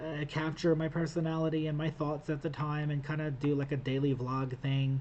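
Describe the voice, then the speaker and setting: Dark, mellow tone in a man's voice, somewhat breathy. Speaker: gaming youtuber / vlogger. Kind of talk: casual vlog talking to camera. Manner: hesitant, stuttering with filler words.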